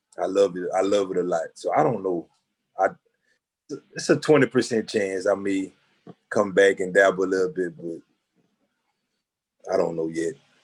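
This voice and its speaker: A man speaks with a fairly low pitch and ordinary pitch variation. Long, frequent pauses break up his speech. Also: moderate pace. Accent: Louisiana. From Louisiana, Jennings. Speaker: photographer. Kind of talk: interview. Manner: halting, many fillers.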